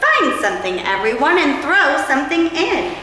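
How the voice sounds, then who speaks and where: A woman performs a put-on character voice at a high pitch and a moderate pace, with loud background noise and a strong echo. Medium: read story.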